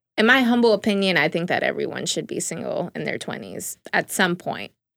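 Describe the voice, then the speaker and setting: Speaking at a fairly quick pace, a woman has an ordinary speaking voice at a medium pitch. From New York City, the Bronx. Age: 20s. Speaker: journalism graduate. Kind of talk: casual chat. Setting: studio.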